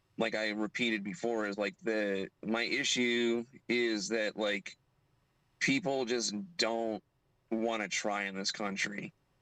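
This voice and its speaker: This man has a bright, sharp tone at medium pitch with ordinary pitch variation and a very slow pace. The sound is dry and close with no echo. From US, Miami, Florida. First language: Spanish. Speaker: livestream guest. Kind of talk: casual chat.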